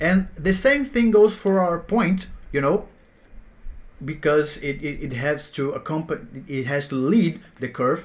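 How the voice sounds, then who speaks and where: In a Portuguese accent, a man talks at a fairly slow pace with a fairly high pitch and lively intonation. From Brazil. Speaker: math teacher. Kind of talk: tutorial. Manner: halting, with repetitions.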